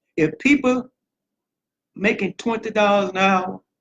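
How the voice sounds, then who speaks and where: Recorded with a dry, close sound and no echo, a man speaks slowly-ish at a high pitch with ordinary pitch variation. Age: 60s. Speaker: political candidate. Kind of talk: campaign speech.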